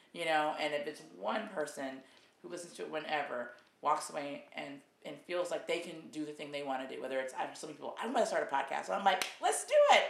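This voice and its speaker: A woman talks at a very fast pace, her loudness swinging widely. Noticeable background noise can be heard. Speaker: video host. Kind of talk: casual interview intro. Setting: video recording. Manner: warm, encouraging.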